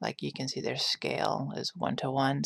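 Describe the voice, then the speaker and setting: Whispering softly in a relaxed tone, a woman speaks at a moderate pace, the sound dry and close with no echo on a very clean recording with a silent background. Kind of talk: ASMR soft-spoken design walkthrough. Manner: soft-spoken, whispered; sleepy, relaxed.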